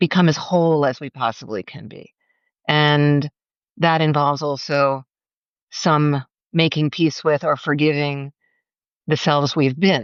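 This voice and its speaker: A woman with a very deep, low pitch speaks at a fairly slow pace. She leaves long, frequent pauses, and her pitch varies in an ordinary way. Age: 60s. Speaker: novelist and memoirist. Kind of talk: casual interview. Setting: live video. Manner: halting, many fillers.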